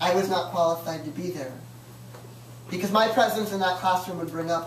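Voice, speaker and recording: A woman with a fairly low voice speaks at a moderate pace with ordinary pitch variation. Noticeable background noise and audible room echo fill the recording. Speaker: performer. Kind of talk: storytelling performance.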